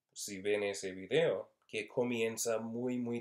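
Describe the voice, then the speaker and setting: Speaking at a very slow pace, a man with an English accent keeps his medium-pitched voice in a monotone, flat intonation. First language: English (speaking Spanish). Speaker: university Spanish linguistics instructor. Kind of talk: lecture. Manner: halting, many fillers.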